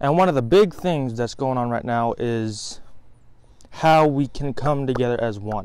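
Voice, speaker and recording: The sound is dry with no echo. A man speaks at a fairly slow pace with ordinary pitch variation. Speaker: vlogger. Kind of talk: casual vlog sermon. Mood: earnest, reflective. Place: garden. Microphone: phone near.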